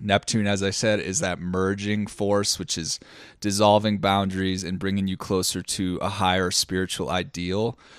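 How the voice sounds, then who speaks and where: In a dry recording with no echo and a quiet background, a man talks at a moderate pace in a plain, everyday voice, fairly low in pitch with fairly even intonation. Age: 30s. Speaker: podcast co-host and musician. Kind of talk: casual chat. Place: home room. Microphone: studio mic.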